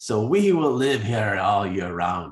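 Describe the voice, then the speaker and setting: Using a put-on character voice, a man talks at a fairly low pitch and a fairly slow pace. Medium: read story. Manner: odd put-on voice.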